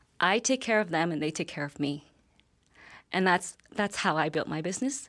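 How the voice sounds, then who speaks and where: A woman's fairly low voice with a Vietnamese accent, lively intonation and a moderate pace, on a very clean recording with a silent background. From Vietnam, moved to Calgary as a girl. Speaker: business owner. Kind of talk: interview. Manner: hesitant, with fillers.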